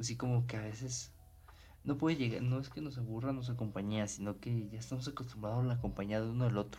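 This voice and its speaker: Speaking at a fairly quick pace, a man has a dark, mellow, somewhat breathy tone and ordinary pitch variation. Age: 20s. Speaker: podcast host. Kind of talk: casual monologue.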